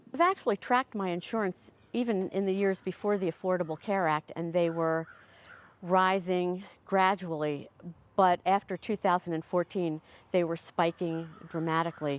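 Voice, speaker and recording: A woman with a normal speaking voice talks at a moderate pace with fairly even intonation and a fairly low pitch, recorded dry and close with no echo over a quiet background. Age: 60s. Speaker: insurance consumer. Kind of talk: testimony.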